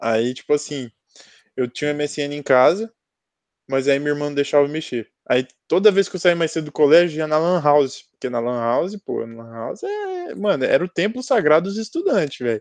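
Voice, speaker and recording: A man in a normal speaking voice talks at a moderate pace and fairly high pitch, his lively intonation and big swings in loudness captured in a dry, close sound with no echo over a quiet background. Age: 20s. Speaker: podcast co-host, journalism student. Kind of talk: casual chat.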